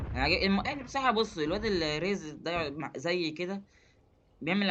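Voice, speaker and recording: An animated tone with lively intonation at a fairly quick pace. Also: man. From Egypt. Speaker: gaming YouTuber. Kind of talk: casual gameplay commentary.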